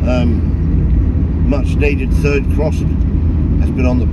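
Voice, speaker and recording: A man is speaking. Loud background noise is present. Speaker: driver vlogger. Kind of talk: casual vlog chat. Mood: relaxed, cheerful. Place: car. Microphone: phone near.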